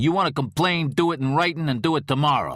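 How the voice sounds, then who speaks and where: A man's gruff, put-on character voice at a fairly high pitch, very fast pace and ordinary pitch variation, on a very clean recording with a silent background. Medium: read story. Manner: curt, gruff.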